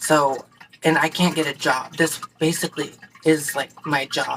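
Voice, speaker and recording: Noticeable background noise sits behind a woman whose very deep, low voice stays monotone and flat. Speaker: vlogger. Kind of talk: casual chat. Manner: halting.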